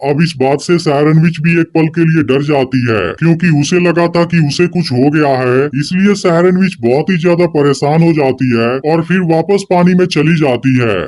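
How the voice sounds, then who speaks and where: A man speaks at a fairly quick pace with a fairly high pitch, hardly any pauses, and very even loudness. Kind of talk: YouTube movie-recap narration. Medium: solo performance. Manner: fast, continuous, suspense-building.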